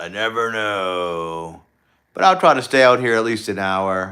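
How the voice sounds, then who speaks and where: A man's bright, sharp tone at a fairly slow pace, with a Southern US accent. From US South, Louisiana. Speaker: YouTuber. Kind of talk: casual live stream chat. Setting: outdoors at night, livestream. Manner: relaxed, with frequent fillers.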